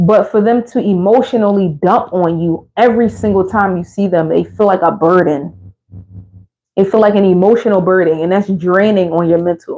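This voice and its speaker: A woman with an American accent talks at a moderate pace in a medium pitch, her loudness very even and her pitch variation ordinary. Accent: Philadelphia accent, comes out at times. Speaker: motherhood vlogger. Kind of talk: casual advice monologue. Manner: animated.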